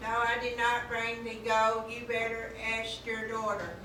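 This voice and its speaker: Through loud background noise and a slight echo, a woman puts on a character voice at a fairly high pitch and a moderate pace. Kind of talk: amateur storytelling performance. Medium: stage play.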